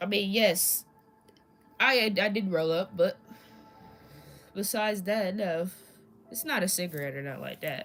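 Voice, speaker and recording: Music plays in the background as a woman with a medium-pitched voice and an American accent speaks with long, frequent pauses. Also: moderate pace. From Indianapolis, Indiana. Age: 20s. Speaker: streamer. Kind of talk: casual live stream chat. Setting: live stream. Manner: halting, repeats words.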